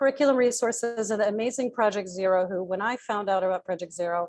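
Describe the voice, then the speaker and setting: Talking very fast, a woman shows ordinary pitch variation. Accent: American. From Chicago. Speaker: educator and nonprofit program director. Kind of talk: webinar presentation.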